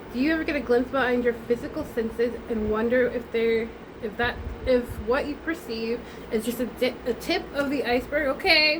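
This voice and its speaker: Over noticeable background noise, a woman speaks at a moderate pace. Her pitch is high, with ordinary variation. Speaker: tarot reader. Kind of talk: tarot reading with read-out card text.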